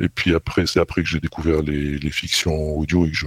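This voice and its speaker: Against noticeable background noise, a man with a very deep, low pitch speaks in a monotone, flat intonation at a moderate pace, the sound dry and close with no echo. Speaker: podcaster. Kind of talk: interview. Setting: remote call. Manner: halting.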